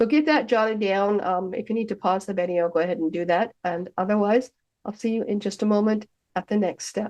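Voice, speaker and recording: A woman's ordinary speaking voice, medium in pitch, at a fairly quick pace. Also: ordinary pitch variation. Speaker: hypnotist and hypnosis teacher. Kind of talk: self-hypnosis instructional talk. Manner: conversational, friendly.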